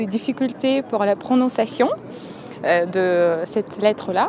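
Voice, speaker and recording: There is noticeable background noise as a woman speaks at a medium pitch. Her pace is very slow. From Moldova. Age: 20s. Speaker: university student. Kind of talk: interview. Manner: hesitant, with fillers.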